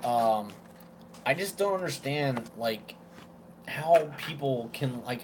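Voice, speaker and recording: There is noticeable background noise as a man with an American accent speaks at a medium pitch with ordinary pitch variation. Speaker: vape reviewer. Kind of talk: casual chat. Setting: live stream.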